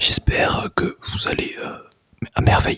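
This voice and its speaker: Someone whispers, and the sound is dry and close with no echo. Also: man. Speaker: ASMR creator, student. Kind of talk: ASMR whispered talk to camera. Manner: whispered, soft-spoken.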